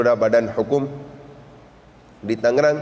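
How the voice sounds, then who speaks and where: A man with a Pakistani accent, with noticeable background noise. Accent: Pakistani accent in Indonesian. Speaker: Islamic preacher. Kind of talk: religious sermon. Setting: mosque. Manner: halting, self-correcting.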